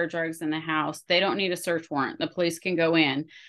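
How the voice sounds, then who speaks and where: Fairly even intonation in a plain, everyday voice. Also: woman. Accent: American. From US Pacific Northwest. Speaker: college professor and event organizer. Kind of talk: casual interview.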